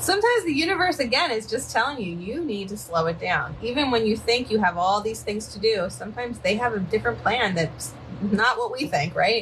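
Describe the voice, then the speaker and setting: A woman talks with a Philadelphia accent over noticeable background noise. She goes at a fairly quick pace with hardly any pauses and a lively intonation. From Philadelphia, US. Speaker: psychic medium. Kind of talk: live-stream card reading. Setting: live stream from home by a river, dogs present. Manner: casual, chatty.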